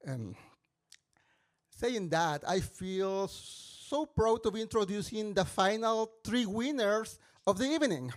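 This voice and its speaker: In a very clean recording with a silent background, a man with a strong Mexican accent speaks very slowly at a high pitch with lively intonation. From Mexico. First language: Spanish. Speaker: musical theatre composer and mentor. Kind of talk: stage introduction. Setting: stage with audience. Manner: halting.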